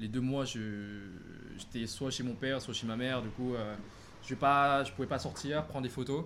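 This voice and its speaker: At a fairly slow pace, a man speaks in a medium pitch with ordinary pitch variation and audible room echo. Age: 20s. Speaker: photographer and business student. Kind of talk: casual interview on a livestream.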